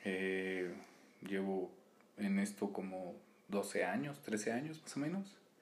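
A man speaks at a very slow pace. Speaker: podcast co-host. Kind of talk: casual chat.

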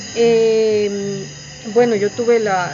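Through audible room echo and noticeable background noise, a woman speaks at a medium pitch with fairly even intonation. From Guatemala. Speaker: poet. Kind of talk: interview. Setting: poetry festival. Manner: halting.

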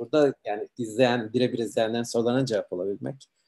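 A man talks very fast at a medium pitch with fairly even intonation. His tone is dark and mellow. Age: 30s. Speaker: livestream host. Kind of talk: online interview.

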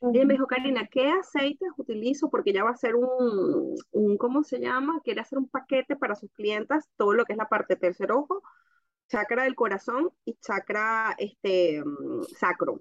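Her high-pitched voice moves at a moderate pace, the woman's intonation lively throughout. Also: dry, close sound with no echo. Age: 30s. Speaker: essential oils distributor. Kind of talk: casual chat.

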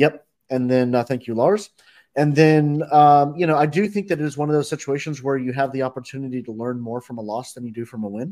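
With an American accent and a dark, mellow tone, the voice moves at a fairly quick pace with ordinary pitch variation in a very clean recording with a silent background. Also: man, fairly high pitch for a man. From North Carolina. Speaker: sports podcast co-host. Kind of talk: casual chat.

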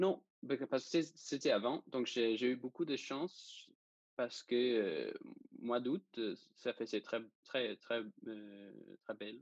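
With a slight Danish accent, a man of medium pitch and ordinary pitch variation speaks at a very slow pace with long, frequent pauses, the sound dry and close with no echo. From Denmark. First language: Danish (speaking French). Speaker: student sailor. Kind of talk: interview. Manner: halting.

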